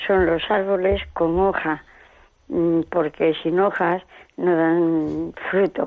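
Very slow speech from a woman, fairly low in pitch, with fairly even intonation. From Spain, Salamanca province. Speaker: radio listener caller. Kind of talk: phone-in testimony. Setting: phone call.

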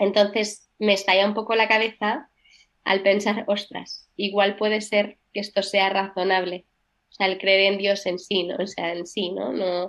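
A woman at medium pitch, monotone and flat in intonation, at a fairly slow pace. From Barcelona, Spain. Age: young. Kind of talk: radio interview testimony.

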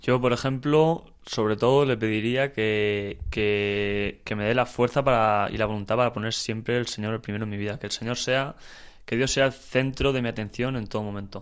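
A man with a plain, everyday voice speaks at a moderate pace with medium pitch and fairly even intonation on a very clean recording with a silent background. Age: 20s. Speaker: volunteer, student. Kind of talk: casual interview.

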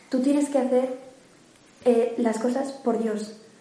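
A woman with a high voice talks at a fairly slow pace in monotone, flat intonation amid noticeable background noise. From Mérida, Spain. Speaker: university student, retreat participant.

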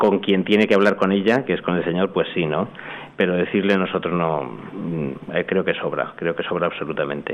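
Very deep and low, a man's voice moves at a fairly quick pace. His pitch varies in an ordinary way. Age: 50s. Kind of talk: radio interview testimony. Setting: hall with live audience. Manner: halting.

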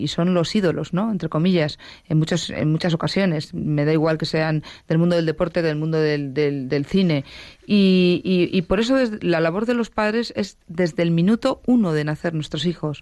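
An unremarkable speaking voice from a woman, fairly low in pitch, with lively intonation at a moderate pace, on a very clean recording with a silent background. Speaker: teacher. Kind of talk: radio talk show. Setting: studio.

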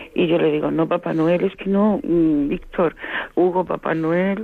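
A fairly low-pitched woman at a fairly slow pace, ordinary pitch variation, and noticeable background noise. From Seville, Andalusia, Spain. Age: 50s. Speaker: radio listener caller. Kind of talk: phone-in call. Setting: phone call.

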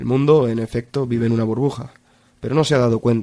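Male voice of medium pitch, dark and mellow in tone, with ordinary pitch variation and a fairly quick pace. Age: 20s. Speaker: university student giving faith testimony. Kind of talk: testimony. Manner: halting, with many repetitions.

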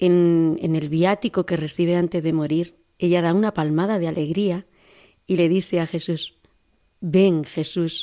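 A woman speaks in a fairly low, dark, mellow voice at a fairly slow pace. The recording is very clean with a silent background. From Andalusia, Córdoba. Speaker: nun. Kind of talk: testimony. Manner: halting.

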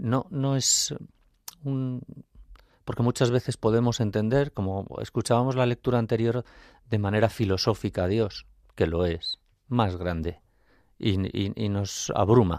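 Recorded very cleanly with a silent background and a dry, close sound with no echo, a man speaks at a medium pitch and a fairly slow pace with long, frequent pauses. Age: 50s. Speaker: architect and lay catechist. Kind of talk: faith testimony on radio. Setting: radio studio.

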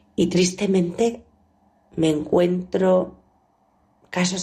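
A woman speaks very slowly in a fairly low voice. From Bilbao area, Spain. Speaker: nun, founder of a religious congregation. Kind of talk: spiritual reflection.

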